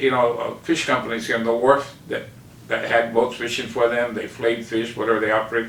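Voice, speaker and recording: Amid noticeable background noise and audible room echo, a man at a medium pitch talks at a fairly quick pace. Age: 60s. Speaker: fish market owner and fisherman. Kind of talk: interview.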